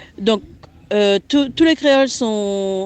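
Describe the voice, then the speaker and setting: In a French Guianese accent, a woman speaks at a very slow pace. Her intonation is lively. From French Guiana. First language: Guianese Creole (speaking French). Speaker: guest speaking on Creole language and culture. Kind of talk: interview answers. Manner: halting, many hesitations.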